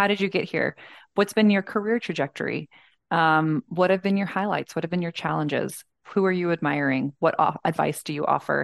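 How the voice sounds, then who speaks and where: A woman with an American accent and a normal speaking voice talks at a fairly quick pace, her fairly low pitch showing ordinary variation, in a dry, close recording with no echo and a quiet background. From Georgia, US South. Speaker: architect and design manager. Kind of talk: interview conversation.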